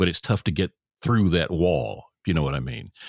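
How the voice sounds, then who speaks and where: A man speaks with vocal fry in a dry, close recording that has no echo. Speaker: podcast co-host. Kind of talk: casual political commentary chat.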